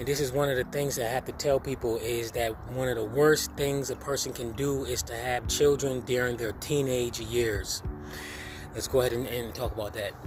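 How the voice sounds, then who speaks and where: Through noticeable background noise, a man speaks at medium pitch with fairly even intonation. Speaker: personal development vlogger. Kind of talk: freestyle monologue. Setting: outdoors at a dock. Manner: usually a fast talker.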